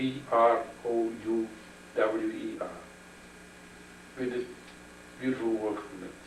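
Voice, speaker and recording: A man of medium pitch speaks at a fairly slow pace in a monotone, flat way, with long, frequent pauses, noticeable background noise and audible room echo. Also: big swings in loudness. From Indonesia, then the Netherlands. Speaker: chemist. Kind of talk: interview. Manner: halting.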